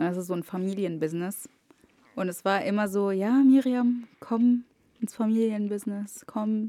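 A woman's dark, mellow voice with an Arabic accent, medium pitch, fairly even intonation and a moderate pace. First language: Arabic (speaking German). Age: 20s. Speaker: media studies student. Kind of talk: casual chat.

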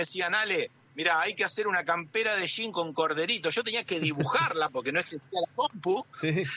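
This man talks with a high pitch and lively intonation. His pace is moderate. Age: 50s. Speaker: architect, illustrator and sommelier. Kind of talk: interview.

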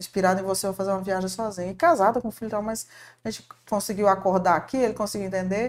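Very fast speech comes with ordinary pitch variation. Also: woman, medium pitch for a woman. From Paraná, southern Brazil. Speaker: shopping mall marketing manager. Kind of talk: podcast interview.

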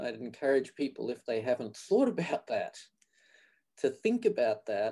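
With an Australian accent, a man speaks in a fairly high pitch with a dark, mellow tone. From Australia (Queensland). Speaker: physical therapy program director. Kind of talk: interview.

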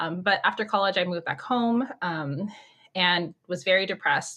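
In a Californian accent, a woman talks at a moderate pace and fairly low pitch with lively intonation. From Orange County, California. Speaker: writer and mom discussing faith. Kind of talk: podcast interview.

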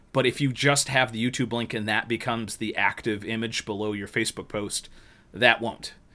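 Music plays in the background as a man talks. His pitch is medium and his pace moderate. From northern New York. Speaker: podcast host. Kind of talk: casual chat.

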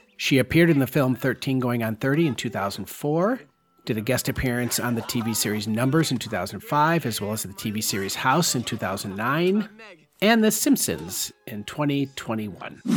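A man with an unremarkable speaking voice talks in a medium pitch with lively intonation. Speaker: film podcast host. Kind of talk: scripted narration of film history, read out like a review essay.

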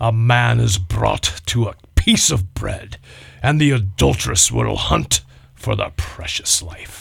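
A put-on character voice from a man, very deep and low in pitch, at a fairly slow pace.

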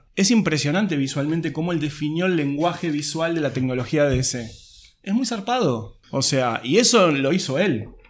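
Audible room echo colors the fairly high voice of a man speaking with lively intonation. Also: moderate pace. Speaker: comics expert. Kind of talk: casual chat.

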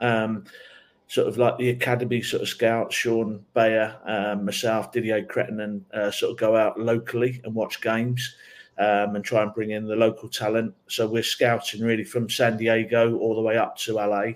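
A man speaks at a medium pitch with an English accent and a monotone, flat intonation. The recording is very clean, with a silent background. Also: moderate pace. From England. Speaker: soccer assistant coach. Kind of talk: interview.

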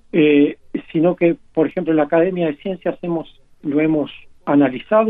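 A high-pitched man at a moderate pace with ordinary pitch variation. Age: 60s. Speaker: marine scientist, university professor. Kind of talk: interview.

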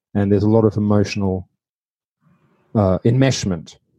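A man with an Australian accent, fairly low pitch and a dark, mellow tone, fairly even intonation at a moderate pace, in a dry, close sound with no echo. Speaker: podcast host. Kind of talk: interview. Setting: remote call.

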